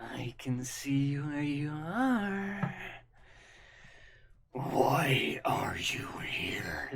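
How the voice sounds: A raspy, put-on character voice at a low-to-middle pitch, at a very slow pace with long, frequent pauses.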